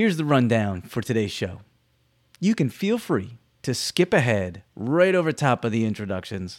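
His pitch rises and falls very widely. The man keeps to a moderate pace. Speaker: podcast host, educator. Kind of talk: casual interview, upbeat and joking. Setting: video call interview. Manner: animated, jokey.

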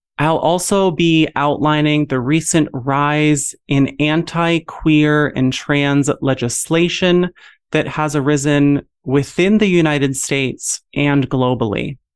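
A gentle, soothing tone moves at a very slow pace over a quiet background. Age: 30s. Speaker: podcast host and medical student. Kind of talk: guided mindfulness breathing meditation opening the episode; personal solo podcast monologue, storytelling. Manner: slow, gentle, soothing pacing with pauses for breaths.

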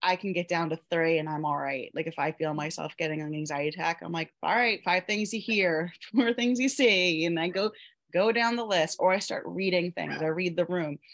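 A woman's fairly low voice in a Mid-Atlantic US accent, with ordinary pitch variation, moderate pace, hardly any pauses and a quiet background. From Pennsylvania, US. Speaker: self-love coach and Reiki practitioner. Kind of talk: interview testimony.

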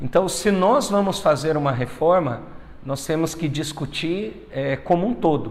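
Over noticeable background noise, a man speaks fairly slowly at a fairly high pitch with ordinary pitch variation. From Brazil, northern Paraná. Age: 30s. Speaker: politician. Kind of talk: interview.

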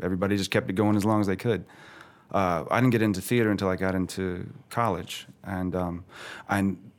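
This is a man with a plain, everyday voice, fairly low in pitch. He speaks at a fairly quick pace with fairly even intonation. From Florida, St. Petersburg; moved to Georgia at 16. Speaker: theater founder and director. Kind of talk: casual interview chat.

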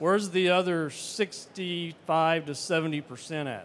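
A man talks in an animated tone. His pitch varies in an ordinary way. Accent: Southern US. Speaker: fertilizer company representative. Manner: animated, engages audience.

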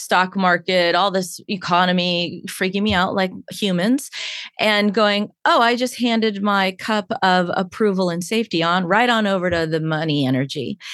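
With an ordinary speaking voice, the speaker moves along at a moderate pace. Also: woman. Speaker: hypnotherapist and coach. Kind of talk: casual interview chat.

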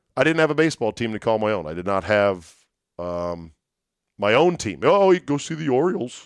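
A man's medium-pitched voice with an American accent at a fairly quick pace, with very wide pitch swings, big swings in loudness and long, frequent pauses, against a quiet background. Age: 50s. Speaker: sports podcast host. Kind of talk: solo sports podcast with ad read. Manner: casual, rambling, conversational.

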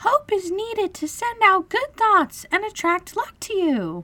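A woman in a put-on character voice speaks slowly at an extremely high pitch, bright and sharp in tone with big pitch swings.

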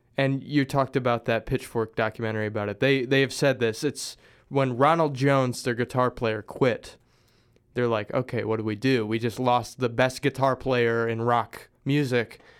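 Heard on a very clean recording with a silent background, a man with an American accent has a plain, everyday voice of medium pitch and fairly even intonation. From US Midwest (Springfield, Missouri). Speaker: musician. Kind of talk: casual chat.

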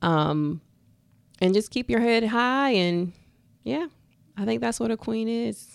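With very wide swings in pitch, a woman talks at a fairly slow pace. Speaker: esthetician and spa owner. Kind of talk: casual interview.

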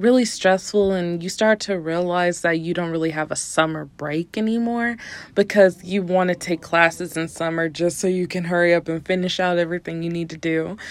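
Recorded very cleanly with a silent background, a woman with a fairly low pitch speaks at a fairly quick pace with ordinary pitch variation. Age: 20s. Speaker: solo podcast host and college student. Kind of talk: casual chat. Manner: animated.

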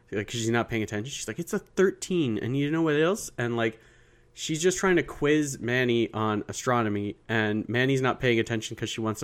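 In an ordinary speaking voice, a man keeps a middle pitch that varies normally while talking at a medium speed. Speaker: podcast co-host. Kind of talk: casual chat.

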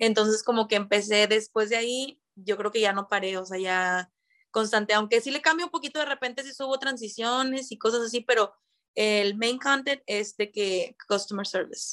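On a very clean recording with a silent background, a woman with an ordinary speaking voice talks at a moderate pace, her pitch fairly high with ordinary pitch variation. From Mexico, Monterrey. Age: 20s. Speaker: call center agent and TikTok creator. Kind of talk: casual chat.

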